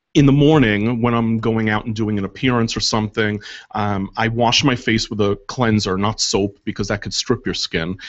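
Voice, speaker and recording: A man speaks in an ordinary speaking voice, medium in pitch and fairly even in intonation, at a moderate pace. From New York. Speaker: makeup artist. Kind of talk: casual chat. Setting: radio studio.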